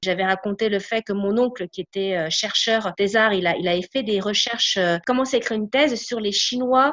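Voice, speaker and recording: A woman talks in a fairly high voice, her pitch varying in an ordinary way. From France. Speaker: podcast guest. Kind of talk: casual interview. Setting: remote call. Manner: halting.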